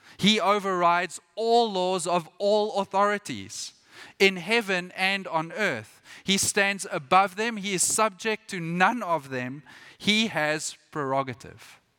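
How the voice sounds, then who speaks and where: The speaker talks at a very slow pace in a raised, projected voice. Pitch variation is ordinary. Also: man, high pitch for a man, very clean recording, silent background. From Britain. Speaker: missionary pastor. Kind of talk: sermon. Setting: church.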